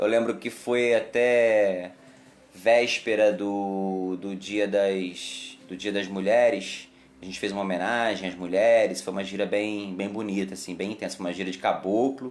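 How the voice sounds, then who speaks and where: Recorded with audible room echo, a man with a fairly low pitch speaks at a fairly slow pace using fairly even intonation. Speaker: umbanda temple leader. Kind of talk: live stream chat. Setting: Facebook live stream.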